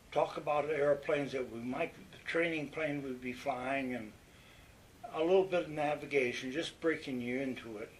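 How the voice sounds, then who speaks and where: A man with a Western New York accent speaks at a moderate pace and fairly high pitch with fairly even intonation over noticeable background noise. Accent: Western New York American. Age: 90s. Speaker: war veteran. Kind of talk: oral history interview. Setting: nursing home. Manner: halting.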